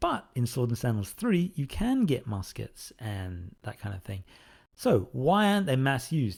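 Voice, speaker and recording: A somewhat breathy man talks at a fairly slow pace and a medium pitch with very wide pitch swings, in a very clean recording with a silent background. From Australia. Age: 40s. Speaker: indie game developer. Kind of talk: Q&A answering fan questions. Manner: casual, hesitant with fillers.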